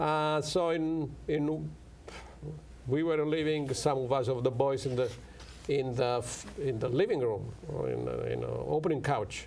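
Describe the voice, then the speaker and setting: A man with an Italian accent at a fairly slow pace, in audible room echo. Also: medium pitch for a man, ordinary pitch variation. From Italy. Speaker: professor. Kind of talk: interview. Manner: halting.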